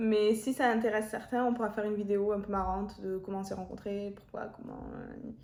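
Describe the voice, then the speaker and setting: Her fairly high voice carrying audible room echo, a woman speaks at a fairly quick pace in monotone, flat intonation with hardly any pauses. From Marseille, southern France. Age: 20s. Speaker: YouTuber. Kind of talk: casual chat.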